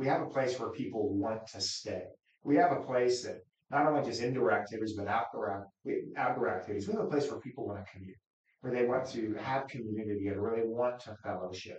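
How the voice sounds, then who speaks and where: A man with an American accent speaks very fast at a medium pitch, somewhat breathy. His pitch varies in an ordinary way while his loudness swings widely. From Wichita, Kansas. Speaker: county commissioner. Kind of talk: interview.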